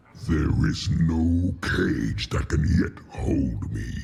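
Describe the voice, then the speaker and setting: A man growls in a put-on character voice, very deep and low, at a very slow pace over clear background noise. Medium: machinima.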